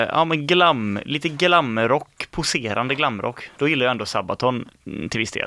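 A man's bright, sharp tone sits at a medium pitch. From Mark municipality, West Sweden. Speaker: student radio host. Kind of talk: casual chat.

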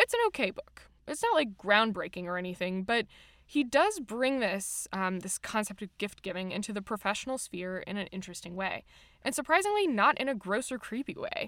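With an American accent, a woman speaks at a fairly quick pace in a fairly high voice with lively intonation; hers is an unremarkable speaking voice. The recording is very clean, with a silent background. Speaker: podcast host. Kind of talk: casual chat.

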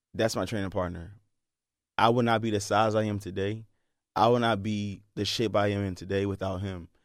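Fairly low male voice with fairly even intonation at a moderate pace, in a very clean recording over a silent background. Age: 30s. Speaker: bodybuilder and health science professor. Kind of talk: casual interview. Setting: studio.

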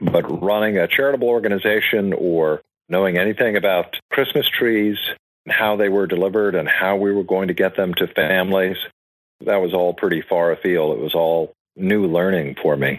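With an American accent, a man speaks at a moderate pace with a very deep, low pitch and ordinary pitch variation. His loudness stays very even against a quiet background. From Georgia, US South. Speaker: charity founder, marketing executive. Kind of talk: interview.

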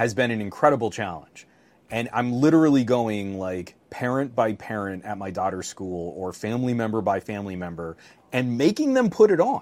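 With an unremarkable speaking voice, a man at medium pitch talks at a moderate pace, with ordinary pitch variation and big swings in loudness. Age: 40s. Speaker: tech podcast co-host. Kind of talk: casual chat.

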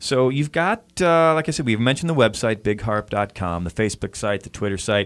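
In a very clean recording with a silent background, a man at medium pitch speaks with hardly any pauses in an unremarkable speaking voice. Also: lively intonation, fairly quick pace. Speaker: radio host. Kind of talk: interview. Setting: studio. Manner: warm and conversational.

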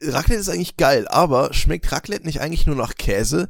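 A man speaks at a fairly high pitch with vocal fry. His pitch swings very widely. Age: 20s. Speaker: podcast co-host. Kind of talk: casual chat.

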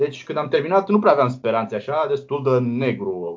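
Lively intonation marks the delivery. It is an ordinary speaking voice. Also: man. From Romania, Brăila. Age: 20s. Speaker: blind software developer. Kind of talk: interview.

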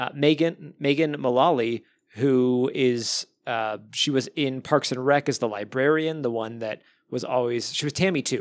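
A man with an American accent uses a normal speaking voice at medium pitch and a moderate pace. His pitch varies in an ordinary way, and the recording is very clean with a silent background. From Arizona. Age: 30s. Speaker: podcast host. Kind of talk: casual chat.

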